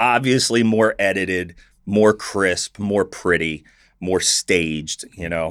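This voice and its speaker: A man talks at a very slow pace with a very deep, low pitch and ordinary pitch variation. The recording is very clean, with a silent background. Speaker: social media influencer. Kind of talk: casual chat. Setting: studio. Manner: loud.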